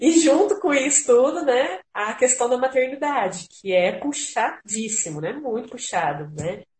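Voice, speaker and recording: Speaking high for a woman with very wide pitch swings, she keeps a fairly slow pace yet leaves hardly any pauses. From São Paulo state, Franca. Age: 30s. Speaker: visual artist and art teacher. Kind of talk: casual chat.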